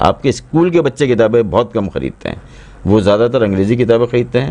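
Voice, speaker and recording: Here a man with a plain, everyday voice speaks at a moderate pace with ordinary pitch variation. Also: medium pitch for a man. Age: 60s. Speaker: drama and children's story writer. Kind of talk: interview.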